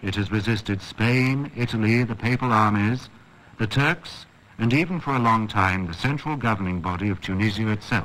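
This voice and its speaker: At a moderate pace, a man with an ordinary speaking voice speaks at medium pitch with ordinary pitch variation. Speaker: documentary narrator. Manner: formal; measured, even-paced.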